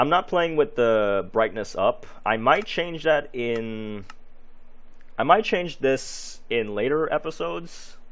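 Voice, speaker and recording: A man at a medium pitch with a non-native accent, speaking very slowly in very wide pitch swings. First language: not English. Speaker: gaming youtuber. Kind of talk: gameplay commentary. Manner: halting, many fillers.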